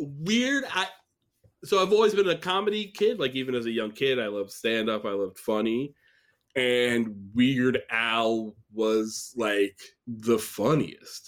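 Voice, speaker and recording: In a very clean recording with a silent background, a man with an American accent has an unremarkable speaking voice, a medium pitch and lively intonation. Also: fairly slow pace. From upstate New York. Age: 20s. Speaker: comedian. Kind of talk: casual chat.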